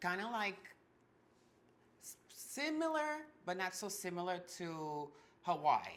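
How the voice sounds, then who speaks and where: Speaking very slowly in a Martinican accent, a woman takes long, frequent pauses, her loudness swinging widely and her pitch ranging very far. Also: medium pitch for a woman. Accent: Martinican French Caribbean. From Martinique. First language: French and Creole. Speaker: ballroom performer, house mother. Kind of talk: casual interview chat.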